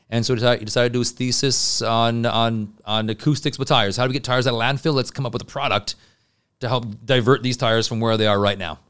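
With a Canadian accent, a man talks at a very fast pace and medium pitch, his intonation fairly even, on a very clean recording with a silent background. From Montreal, Quebec. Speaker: building products sales rep. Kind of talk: interview. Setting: studio.

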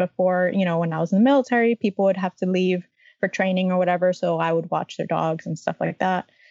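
A woman talks at a medium pitch in an American accent. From Miami, Florida. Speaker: travel blogger and army veteran. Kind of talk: interview.

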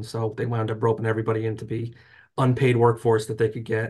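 Somewhat breathy, a man speaks with an American accent over a quiet background. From North Jersey, US. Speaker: trade association lobbyist. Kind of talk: interview.

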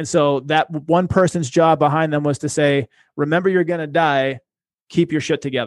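A man with an American accent, fairly high in pitch, at a moderate pace, with a dry, close sound, no echo and a quiet background. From Boston, US. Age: 30s. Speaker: investment advisor. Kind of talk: casual interview. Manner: animated.

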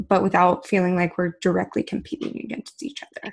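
This woman's voice has some breathiness. She is talking. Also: very clean recording, silent background. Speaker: podcast host. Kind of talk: casual interview. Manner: enthusiastic.

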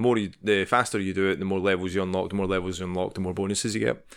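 A man with a Scottish accent speaks very fast in a fairly low pitch, his tone bright and sharp, on a very clean recording with a silent background. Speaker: podcast co-host. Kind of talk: casual chat.

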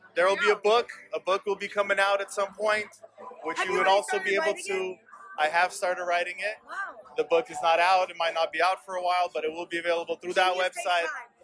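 A man's high-pitched, very fast speech with fairly even intonation, over noticeable background noise. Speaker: amateur rapper met at a party. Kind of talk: casual chat. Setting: outdoors on a balcony at a party.

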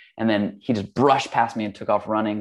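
A normal speaking voice at a fairly quick pace against a quiet background. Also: man. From Hawaii and California. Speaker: yoga teacher and studio owner. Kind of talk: casual interview chat.

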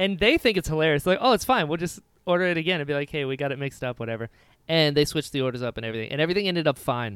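Very fast and lively, a man speaks with a fairly high pitch and an American accent. The recording is very clean with a silent background and a dry, close sound with no echo. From US, Florida. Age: 30s. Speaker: podcast co-host and actor. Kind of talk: casual chat.

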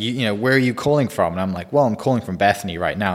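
Delivered at a very fast pace in an American accent, a man's fairly low voice carries lively intonation.

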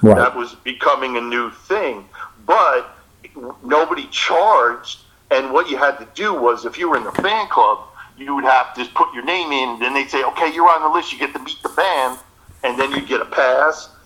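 With an American accent, a man talks at a moderate pace and a fairly high pitch, with ordinary pitch variation and big swings in loudness over noticeable background noise. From New Jersey. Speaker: musician. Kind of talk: casual chat.

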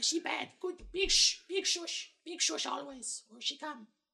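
A put-on character voice at an extremely high pitch drawls along at a very slow pace. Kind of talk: broken pidgin English. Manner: nervous, fearful.

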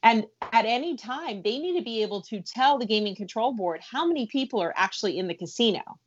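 A woman with a fairly high pitch and lively intonation, at a very fast pace with hardly any pauses. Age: 40s. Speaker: entertainment and food journalist. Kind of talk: podcast interview.

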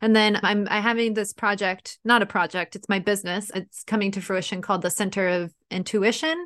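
A woman with an American accent speaks at a moderate pace and medium pitch, with hardly any pauses and ordinary pitch variation. The sound is dry and close with no echo, and the background is quiet. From San Diego, Southern California. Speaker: therapist. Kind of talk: casual interview chat. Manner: animated.

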